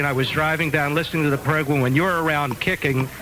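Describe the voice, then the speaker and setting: The voice has ordinary pitch variation over noticeable background noise. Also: man. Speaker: rabbi. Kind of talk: radio tribute chat.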